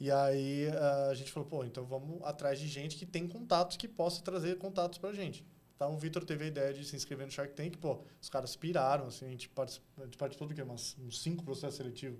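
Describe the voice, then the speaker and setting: A man with a fairly high pitch and ordinary pitch variation talks at a very fast pace. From São Paulo, Brazil (South Zone). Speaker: art agency co-founder. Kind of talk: casual interview chat.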